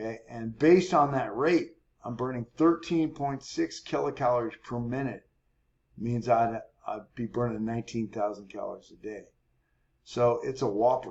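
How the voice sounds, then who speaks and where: This man has a normal speaking voice at a medium pitch with ordinary pitch variation. He talks at a moderate pace, with big swings in loudness. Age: 60s. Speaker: fitness coach. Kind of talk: tutorial. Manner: casual, explanatory.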